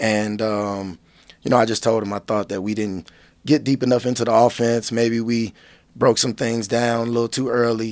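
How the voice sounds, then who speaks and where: On a very clean recording with a silent background, a man speaks in a flat monotone. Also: medium pitch for a man, moderate pace. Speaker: basketball coach. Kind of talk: radio interview. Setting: studio.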